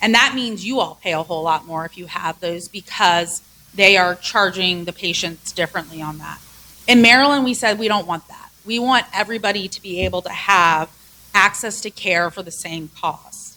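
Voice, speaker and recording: Her tone bright and sharp, a woman speaks with ordinary pitch variation and big swings in loudness. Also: medium pitch for a woman, moderate pace. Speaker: hospital association executive. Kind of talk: public presentation. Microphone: close to the microphone.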